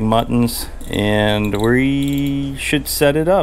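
A man speaks over light background noise. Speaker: fishing channel host. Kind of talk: casual vlog chat. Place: workshop. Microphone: phone near.

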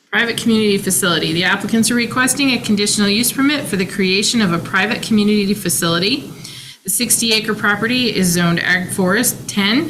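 In a room with audible echo and noticeable background noise, a woman talks very fast at a medium pitch, her loudness very even and her pitch varying in an ordinary way. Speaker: hearing examiner. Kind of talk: public hearing. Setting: conference room. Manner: formal.

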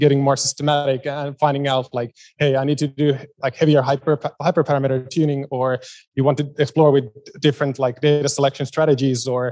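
Speaking at a fairly quick pace, a man uses a medium pitch with little pitch movement. His tone is slightly mellow.

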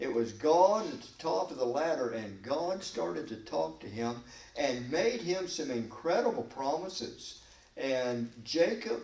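A man speaks at a very slow pace with very wide pitch swings. Audible room echo surrounds his voice. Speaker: pastor. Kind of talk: Bible study sermon. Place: church. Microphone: podium.

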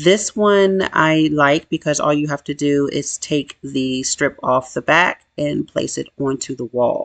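A woman with a very deep, low pitch and ordinary pitch variation speaks at a fairly slow pace with hardly any pauses against a quiet background. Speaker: DIY home renovation vlogger. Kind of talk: casual DIY vlog narration. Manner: chatty, somewhat halting with self-corrections. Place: kitchen. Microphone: phone near.

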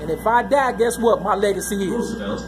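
Speech in an American accent, with noticeable noise in the background. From Chicago. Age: 50s. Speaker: vlogger. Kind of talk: personal vlog monologue. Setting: on a train, announcements in background. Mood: agitated, ranting. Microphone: phone near.

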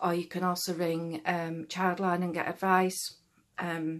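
A woman's fairly low-pitched voice in monotone, flat intonation over a quiet background. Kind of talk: casual vlog chat, advice. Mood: serious, earnest. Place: home room. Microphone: phone near.

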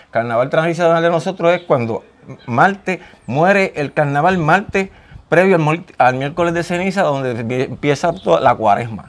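A man talks at a moderate pace with a high pitch. His intonation is lively. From Puerto Rico, Ponce; Puerto Rico. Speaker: craftsman, carnival mask maker. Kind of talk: interview. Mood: proud, earnest. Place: garage. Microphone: lapel.

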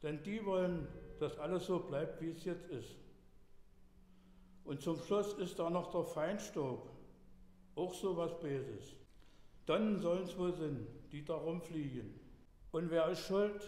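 Pausing long and often at a very slow pace, a man with a high voice speaks with ordinary pitch variation amid audible room echo. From Dessau, Saxony-Anhalt. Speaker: dialect storyteller. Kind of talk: dialect story reading. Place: church.

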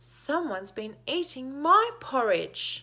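In a put-on character voice, a female-sounding speaker talks fairly slowly at a high pitch with very wide pitch swings.

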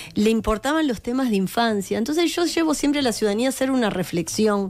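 A woman with a fairly high voice swings her pitch very widely. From Uruguay, Montevideo; Uruguay. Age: 50s. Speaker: pediatrician and politician; politician. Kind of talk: interview. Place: studio. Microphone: studio mic.

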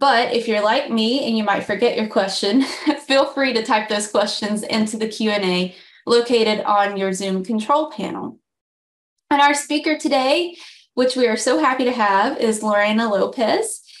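Speech comes at a moderate pace with ordinary pitch variation. The background is quiet, with audible room echo. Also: woman, fairly high pitch for a woman. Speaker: communications director, webinar host. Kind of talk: webinar introduction. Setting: video call. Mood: friendly, upbeat. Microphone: webcam.

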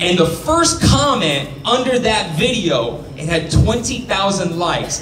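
Over noticeable background noise, a man speaks at a fairly slow pace with very wide pitch swings. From Mexican-American, US. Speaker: stand-up comedian. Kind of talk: stand-up comedy. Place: stage. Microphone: handheld.

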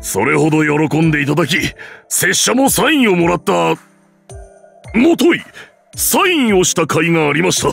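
A man does a high-pitched put-on character voice at a moderate pace, with very even loudness and long, frequent pauses. Faint music plays in the background. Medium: dub. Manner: formal, polite.

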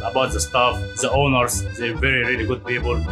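The speech moves at a fairly quick pace while clear music plays in the background. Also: man. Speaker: restaurant chef. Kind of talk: interview answer. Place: kitchen. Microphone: lapel.

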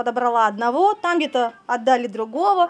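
With lively intonation, a woman's high-pitched voice comes through. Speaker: animal trainer. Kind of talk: interview. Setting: outdoors. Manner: halting. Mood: earnest, slightly embarrassed. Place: farm machine. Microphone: handheld.

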